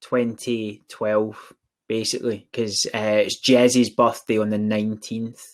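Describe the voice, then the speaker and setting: Delivered in a monotone, flat way, a man's medium-pitched voice carries a strong Scottish accent. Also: fairly slow pace. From Scotland, east end of Glasgow. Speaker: recruitment agency director. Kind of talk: casual chat.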